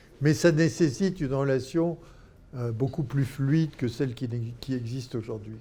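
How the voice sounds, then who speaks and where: Here a man speaks at a moderate pace, somewhat breathy and dark, mellow in tone. His pitch is medium, with ordinary variation. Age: 80s+. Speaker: philanthropy expert, former doctor and NGO leader. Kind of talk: interview. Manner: halting.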